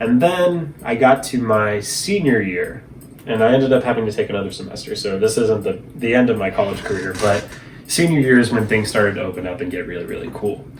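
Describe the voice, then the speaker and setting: A man's medium-pitched voice with ordinary pitch variation, noticeable background noise and audible room echo. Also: fairly quick pace. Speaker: vlogger. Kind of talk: casual monologue vlog. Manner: fast.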